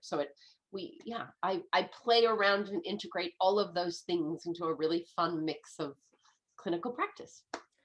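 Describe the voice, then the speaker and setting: The woman's pace is moderate. She has an American accent. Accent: American, shifts with location. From US, San Francisco. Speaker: medical astrologer and naturopath. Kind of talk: casual interview chat.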